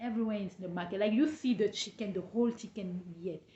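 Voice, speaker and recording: A woman speaks at a medium pitch with a dark, mellow tone, a somewhat breathy quality, and ordinary pitch variation. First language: not English. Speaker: travel and business vlogger. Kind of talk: casual vlog talk. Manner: halting.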